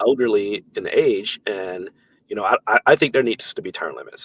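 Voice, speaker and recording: The sound is dry and close with no echo as a man speaks with an American accent. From US South. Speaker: congressional candidate. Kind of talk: interview.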